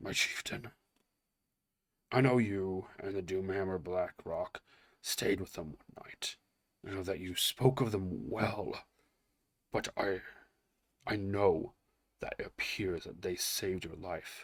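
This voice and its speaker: A man puts on a raspy character voice, pitched fairly low. He talks at a fairly slow pace with long, frequent pauses. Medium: read story. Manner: slow and careful.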